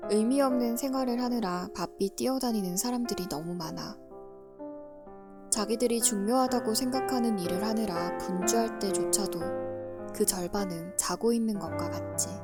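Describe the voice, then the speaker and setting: Background music under a woman's moderately paced voice. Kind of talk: audiobook reading. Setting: quiet recording with background music. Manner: soft-spoken.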